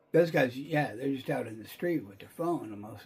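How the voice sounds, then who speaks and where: There is noticeable background noise in the recording. Over it, a man talks fairly quickly. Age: 60s. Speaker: video commentator. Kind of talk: casual monologue. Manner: rambling with many fillers and repeated words.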